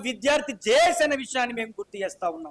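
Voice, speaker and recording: A man speaks in a passionate tone. The sound is dry and close, with no echo. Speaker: student movement leader. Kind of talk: political speech at press meet. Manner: fiery, passionate.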